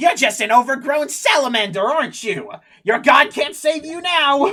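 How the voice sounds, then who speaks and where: A put-on character voice cackles at a high pitch in a raised, projected voice. It moves at a moderate pace. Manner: mocking, cackling.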